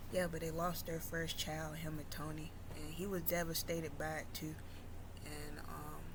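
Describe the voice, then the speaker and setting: Soft-spoken and at a moderate pace, a woman talks amid audible room echo. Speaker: YouTuber. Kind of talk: storytelling.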